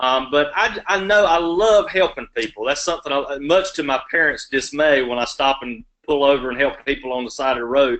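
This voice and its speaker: With a Southern US accent, a man speaks at a fairly high pitch, using lively intonation and hardly any pauses. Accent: Southern drawl. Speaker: law student, election candidate. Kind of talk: candidate Q&A answers. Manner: long-winded.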